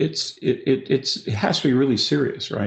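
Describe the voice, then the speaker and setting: A man with a Canadian accent speaks in a somewhat breathy voice. His intonation is lively. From Canada. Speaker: business strategy consultant. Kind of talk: webinar talk. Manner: fast.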